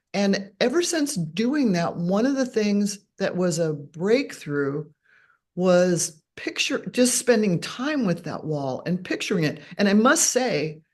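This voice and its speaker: Over a quiet background, a woman with a somewhat breathy, medium-pitched voice talks at a very slow pace with very wide pitch swings. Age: 70s. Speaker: author. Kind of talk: casual chat.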